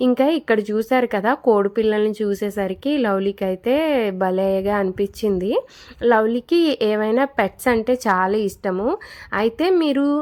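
In a plain, everyday voice, a woman speaks at a fairly high pitch with ordinary pitch variation and very even loudness. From Kakinada, Andhra Pradesh, India. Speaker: vlogger. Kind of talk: casual vlog narration.

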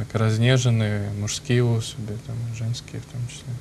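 A man talks with monotone, flat intonation. Light background noise can be heard. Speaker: priest. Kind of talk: talk show discussion. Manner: halting. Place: studio. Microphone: lapel.

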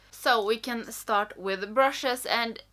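A woman speaks with ordinary pitch variation. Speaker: beauty vlogger. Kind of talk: casual vlog chat. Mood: relaxed, cheerful. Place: home room.

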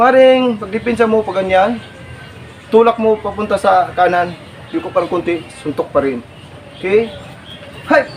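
Speaking at a moderate pace with long, frequent pauses, a high-pitched man shows ordinary pitch variation against noticeable background noise. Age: 40s. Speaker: martial arts instructor. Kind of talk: tutorial. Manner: animated.

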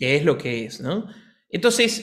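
A man's voice swings very widely in pitch against a quiet background. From Argentina. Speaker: piano teacher and pianist; piano teacher. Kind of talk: casual chat. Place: home room. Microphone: studio mic.

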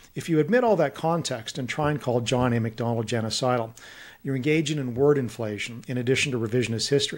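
A man with a western Canadian accent talks at a very fast pace, his medium pitch showing ordinary pitch variation. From Kelowna, British Columbia, Canada; British Columbia. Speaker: policy think tank president and author; podcast guest. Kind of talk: interview conversation. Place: home room. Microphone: studio mic.

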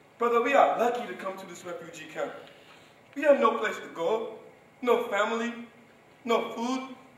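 Amid audible room echo, a man speaks at an extremely high pitch. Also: ordinary pitch variation, moderate pace, big swings in loudness. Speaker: stage actor. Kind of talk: dramatic theatre monologue. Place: stage. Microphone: camera far.

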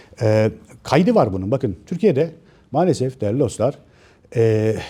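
A man talks at a moderate pace with very wide pitch swings and a dark, mellow tone that is somewhat breathy. The recording is very clean, with a silent background. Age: 50s. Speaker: author and commentator. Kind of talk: monologue to camera. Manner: hesitant, many filler sounds.

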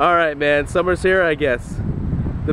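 Noticeable background noise is audible. The sound itself is dry and has no echo. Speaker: local weather show host. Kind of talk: casual forecast commentary. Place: beach. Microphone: phone near.

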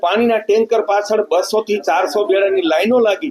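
A man's high-pitched voice with ordinary pitch variation, against noticeable background noise. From Gujarat, Junagadh district. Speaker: water conservation activist and author. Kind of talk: interview statement.

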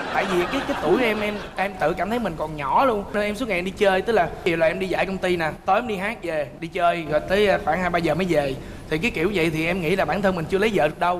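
The pace is very fast, with ordinary pitch variation. Light background noise can be heard. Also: man, high pitch for a man, hardly any pauses. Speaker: talk show guest. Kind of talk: interview answer, storytelling. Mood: lively, humorous storytelling. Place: studio.

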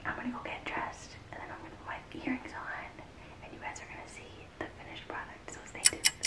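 A woman speaks at a very fast pace. Loud background noise is present. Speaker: vlogger. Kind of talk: casual vlog chat. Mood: excited, playful. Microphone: phone near.

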